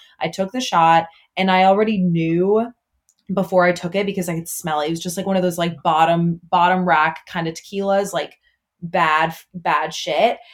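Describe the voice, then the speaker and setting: A woman with an ordinary speaking voice, fairly low pitch and fairly quick pace, in a very clean recording with a silent background. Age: 20s. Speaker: TikTok creator. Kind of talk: casual chat.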